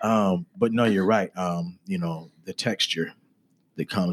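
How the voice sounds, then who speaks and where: Intonation stays fairly even as a man talks at a moderate pace. The sound is dry and close with no echo. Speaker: podcast host. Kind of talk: interview conversation.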